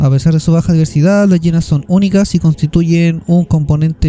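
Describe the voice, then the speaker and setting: A man's fairly high voice with a dark, mellow tone, a Chilean accent, a moderate pace and fairly even intonation. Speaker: podcast host. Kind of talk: casual chat; reading aloud. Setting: remote recording over internet call.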